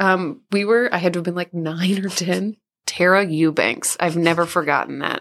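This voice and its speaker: At a moderate pace, a woman speaks in a normal speaking voice with a fairly low pitch. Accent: American. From Southeast Missouri. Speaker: podcast co-host. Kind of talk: casual chat.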